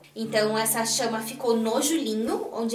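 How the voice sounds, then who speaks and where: There is audible room echo and noticeable background noise as a woman speaks at a high pitch. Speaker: traditionalist culture competition winner. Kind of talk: casual chat.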